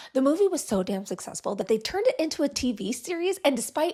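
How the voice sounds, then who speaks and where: A woman is whispering in a very clean recording with a silent background. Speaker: podcast host. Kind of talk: casual chat.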